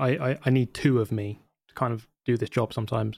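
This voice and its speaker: This is a man with a normal speaking voice, medium in pitch, at a moderate pace. The recording is very clean with a silent background. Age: 30s. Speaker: YouTuber and sim racer. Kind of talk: interview.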